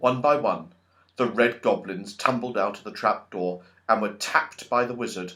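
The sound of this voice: A man speaks at a moderate pace with a fairly low pitch and a fairly bright tone, his pitch varying in an ordinary way against audible room echo.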